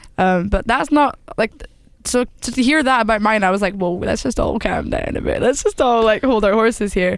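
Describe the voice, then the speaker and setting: A woman talks at a fairly quick pace with a Scottish accent. Her voice sits fairly high, with ordinary pitch variation. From Scotland. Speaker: singer-songwriter. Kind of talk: casual interview chat.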